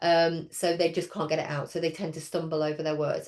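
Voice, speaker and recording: In an English accent, a woman speaks with a fairly low pitch. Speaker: speech and language therapy lecturer. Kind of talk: training webinar. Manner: hesitant with many fillers.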